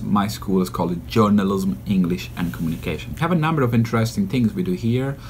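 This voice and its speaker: A somewhat breathy, fairly low male voice with very wide pitch swings. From Sicily, Italy (Agrigento); early childhood in Berlin. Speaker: university lecturer. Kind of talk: interview. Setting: university building. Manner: hesitant, many fillers and repetitions.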